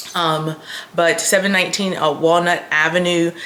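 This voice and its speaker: Amid noticeable background noise and audible room echo, a woman speaks at a fairly slow pace in a monotone, flat intonation. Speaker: lifestyle vlogger. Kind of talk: casual vlog chat. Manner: chatty with many fillers.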